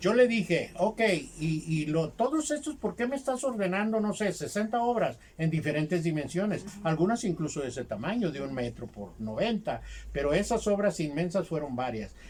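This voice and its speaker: High-pitched for a man, this voice swings very widely in pitch. He speaks at a moderate pace. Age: 70s. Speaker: textile artisan. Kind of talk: interview storytelling.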